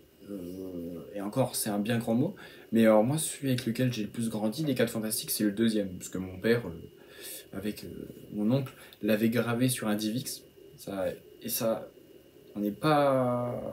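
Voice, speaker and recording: A man's medium-pitched voice with ordinary pitch variation, a fairly slow pace, and long, frequent pauses. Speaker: YouTube film reviewer. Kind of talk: video reaction monologue. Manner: halting, many fillers.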